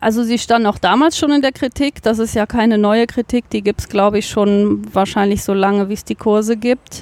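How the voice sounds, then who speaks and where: A woman's voice at a fairly high pitch, an unremarkable speaking voice, moderate pace, fairly even intonation, hardly any pauses, and a dry, close sound with no echo. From Cologne, Germany. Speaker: biologist, nature garden manager. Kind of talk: interview. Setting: outdoors in a garden.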